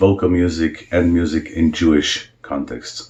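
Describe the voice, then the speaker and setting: A man with an Israeli accent speaks very slowly in a very deep, low, somewhat breathy voice. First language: Hebrew. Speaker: cantor. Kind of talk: self-introduction video. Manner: hesitant, with many fillers.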